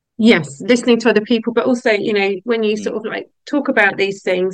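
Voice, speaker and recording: An unremarkable speaking voice from a woman, fairly high in pitch with ordinary pitch variation, at a fairly quick pace. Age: 50s. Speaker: podcast host and survivor advocate. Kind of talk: casual chat.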